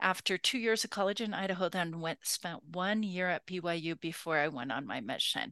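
A woman with an American accent in a plain, everyday voice, fairly low in pitch with ordinary pitch variation and hardly any pauses, in a dry, close sound with no echo over a quiet background. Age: 60s. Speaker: podcast host, women's leadership scholar. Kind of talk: interview about own life.

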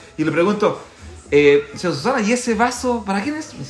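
A man with lively intonation at a fairly quick pace, with audible room echo and music in the background. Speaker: podcast co-host. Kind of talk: casual chat. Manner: animated.

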